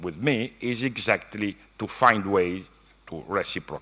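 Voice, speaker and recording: Speaking at a very slow pace, a man talks with an Italian accent. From Italy. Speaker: economics professor. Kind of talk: keynote lecture. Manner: halting.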